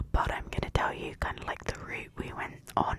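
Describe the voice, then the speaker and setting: A woman whispers over noticeable background noise. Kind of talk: casual talk to camera. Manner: soft-spoken, whispered.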